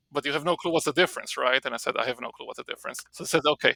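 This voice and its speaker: Talking very fast in an Israeli accent, a man comes across in a dry, close sound with no echo. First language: Hebrew. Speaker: marketing professor. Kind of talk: podcast interview. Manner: casual, with many fillers and repetitions.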